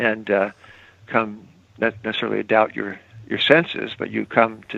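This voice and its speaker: This man speaks at a moderate pace with a medium pitch. His voice carries vocal fry. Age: 70s. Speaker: financial newsletter editor. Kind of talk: podcast interview. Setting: phone call. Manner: halting.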